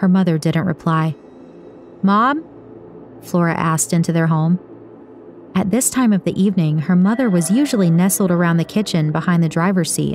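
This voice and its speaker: A woman's dramatic tone, fairly low in pitch, at a moderate pace with ordinary pitch variation and noticeable background noise. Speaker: audiobook narrator. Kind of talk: scripted audiobook narration, dramatic. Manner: dramatic, atmospheric, measured storytelling pace.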